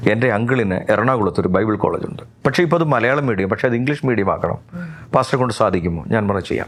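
This man has an ordinary speaking voice at a medium pitch, with lively intonation. His loudness stays very even throughout. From Kerala, Pathanamthitta. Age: 50s. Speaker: pastor. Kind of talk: testimony.

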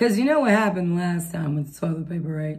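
Somewhat breathy and with lively intonation, a woman talks at a fairly quick pace with an American accent. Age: 50s. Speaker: homesteading vlogger. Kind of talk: casual chat; tutorial. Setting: home, recorded at night.

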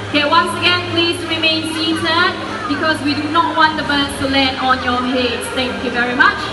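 Noticeable background noise surrounds a woman speaking in a raised, projected voice at an extremely high pitch. Her pitch varies in an ordinary way, and her pace is moderate. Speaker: bird show presenter. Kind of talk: live bird show presenter patter to an audience, explaining and cueing birds. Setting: outdoor stage with audience at a bird park. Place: stadium.

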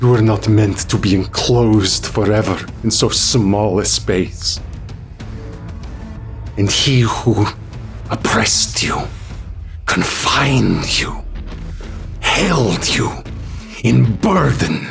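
Over clear background noise, a man puts on a character voice and talks at a very slow pace. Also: fairly low pitch for a man. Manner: grand, incantatory, commanding.

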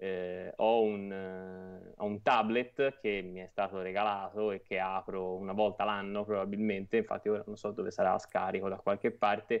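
Faint music plays behind a man talking at a moderate pace with hardly any pauses. His fairly low voice stays monotone and flat. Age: 30s. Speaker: publisher and platform founder. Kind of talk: interview. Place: home room. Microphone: earbuds.

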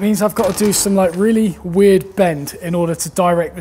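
A man talks, his pitch varying in an ordinary way. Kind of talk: tutorial. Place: workshop.

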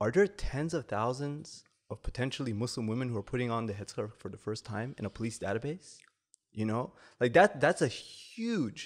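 Over a quiet background, a man with a Canadian accent and an ordinary speaking voice talks at medium pitch and a moderate pace, with lively intonation. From Canada. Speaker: academic researcher; podcast guest. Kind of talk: podcast interview. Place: studio. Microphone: studio mic.

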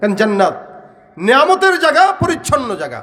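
With noticeable background noise and audible room echo, a man talks with very wide swings in pitch. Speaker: Islamic preacher. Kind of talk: sermon. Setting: religious gathering with audience.

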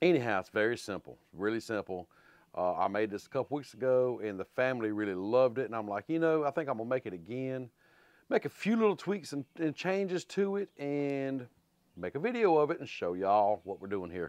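A man talks at a fairly quick pace, the sound dry with no echo and the background quiet. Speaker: home cooking channel host. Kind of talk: cooking tutorial chat. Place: garage.

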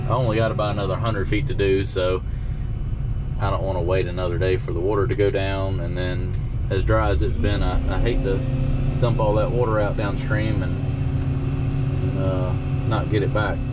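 The speech moves at a moderate pace. Loud noise fills the background. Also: man. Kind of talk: casual vlog commentary. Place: farm machine.

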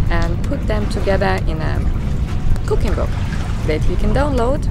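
Music plays in the background as a woman speaks in a dry sound with no echo. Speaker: sailing vlogger. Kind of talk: casual vlog chat. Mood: calm, relaxed. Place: boat. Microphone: phone near.

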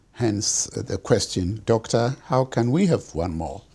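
A man speaks at a very slow pace in a fairly low pitch. His tone is dark and mellow, and somewhat breathy. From Ghana. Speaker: physician and genetics professor; genetics professor. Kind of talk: lecture. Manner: formal. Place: home room.

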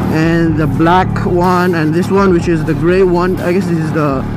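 Music in the background, with a dry sound with no echo. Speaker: motovlogger rider. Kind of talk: casual vlog chat, product review. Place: motorbike.

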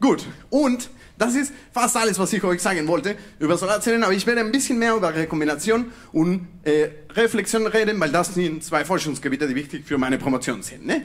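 A man speaks at a fairly quick pace in a high pitch. His pitch swings very widely. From Mexico. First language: Spanish (speaking German). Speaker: PhD student in physics; presenter. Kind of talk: science slam talk; humorous popular science talk. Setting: stage with audience. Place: stage. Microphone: handheld.

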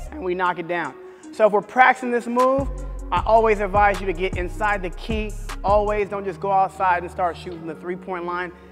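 A man's high-pitched voice with clear music in the background. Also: ordinary pitch variation, fairly quick pace. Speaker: basketball coach. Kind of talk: tutorial. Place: gym. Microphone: lapel.

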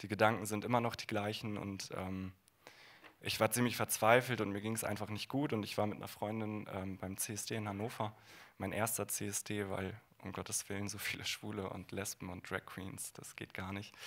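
A fairly low-pitched male voice in a flat monotone at a moderate pace. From northern Germany, Bremen; Germany. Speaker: former conversion therapy participant; guest. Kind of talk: panel discussion. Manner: hesitant, many fillers. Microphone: handheld.

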